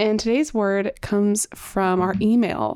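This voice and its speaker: The woman's tone is dark and mellow, her pitch medium with ordinary variation. She speaks at a fairly slow pace on a very clean recording with a silent background. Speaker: podcast co-host. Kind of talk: casual chat.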